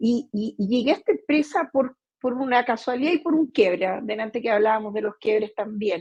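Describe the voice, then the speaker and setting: At a fairly quick pace, a woman talks with ordinary pitch variation in a dry, close sound with no echo. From Brazil. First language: Portuguese (speaking Spanish). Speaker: company CEO. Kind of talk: interview. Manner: hesitant, many fillers.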